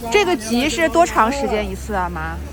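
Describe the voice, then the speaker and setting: A woman speaks at a fairly quick pace. Her pitch sits fairly high. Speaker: Chinese language teacher. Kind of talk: casual vlog talk to camera. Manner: natural normal speed.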